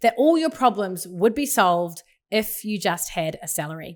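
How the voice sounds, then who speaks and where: A woman with a New Zealand accent speaks at a moderate pace. Her fairly high voice makes very wide pitch swings. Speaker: pastor and podcast host. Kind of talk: podcast monologue.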